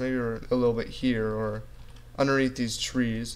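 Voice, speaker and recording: A man talks at a medium pitch. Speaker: gaming youtuber. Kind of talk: gameplay commentary. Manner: fast; casual.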